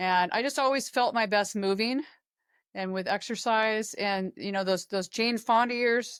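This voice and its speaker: Fairly high in pitch, a woman speaks in an ordinary speaking voice with ordinary pitch variation. She keeps a moderate pace on a very clean recording with a silent background. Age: 60s. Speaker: fitness coach. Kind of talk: casual chat. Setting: podcast interview.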